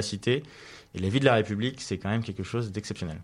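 A man with a fairly low voice and ordinary pitch variation is heard on a very clean recording against a silent background. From Paris region, France. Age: 20s. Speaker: young politician. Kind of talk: radio interview. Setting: studio. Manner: halting.

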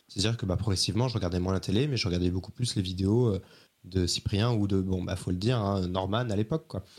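Pitched fairly low, a man goes at a very fast pace with ordinary pitch variation. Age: 30s. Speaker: journalist. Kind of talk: interview.

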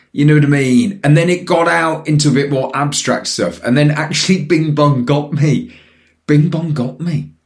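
A man's somewhat breathy, fairly high-pitched voice at a moderate pace. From Birmingham and Newcastle. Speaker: podcast co-host. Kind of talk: casual chat. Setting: video call.

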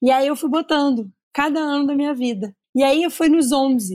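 Recorded very cleanly against a silent background, a woman speaks with ordinary pitch variation in a dry, close sound with no echo. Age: 30s. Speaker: content creator. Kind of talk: casual chat. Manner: talkative.

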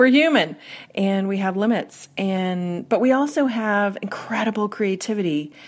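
This woman has a normal speaking voice at a medium pitch. Her intonation is lively. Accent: American. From US Northeast. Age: 40s. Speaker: workplace strategist and author. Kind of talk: interview.

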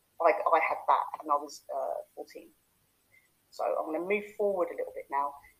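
The loudness of a woman's voice rises and falls in big swings. She keeps to a moderate pace. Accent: London. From East London (Hackney). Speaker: life coach. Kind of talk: casual chat; guided visualisation demo.

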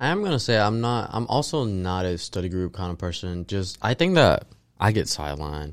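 This man has an unremarkable speaking voice, fairly low in pitch, with lively intonation at a fairly quick pace. The recording is very clean, with a silent background. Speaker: college student podcaster. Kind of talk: casual chat.

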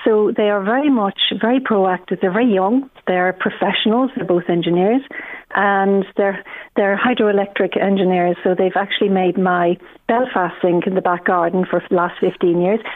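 A woman speaks with an Irish accent at a medium pitch and a moderate pace. Her intonation is fairly even and her loudness very even. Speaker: fertility coach. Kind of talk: casual chat.

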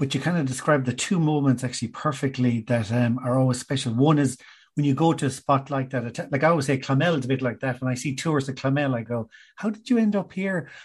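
A somewhat breathy voice in an Irish accent speaks at a very fast pace. Pitch variation is ordinary, and the background is quiet. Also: man, medium pitch for a man. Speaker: podcast host. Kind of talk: casual interview.

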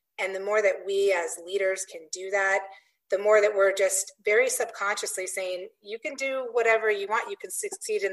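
A woman's plain, everyday voice, medium in pitch, with ordinary pitch variation at a moderate pace. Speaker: epidemiology executive, panelist.

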